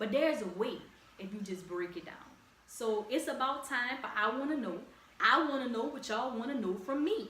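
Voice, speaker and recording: A woman's high-pitched, animated voice with lively intonation at a moderate pace, plus audible room echo. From Louisiana, New Orleans area. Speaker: podcast host. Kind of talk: casual podcast monologue. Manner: animated, conversational.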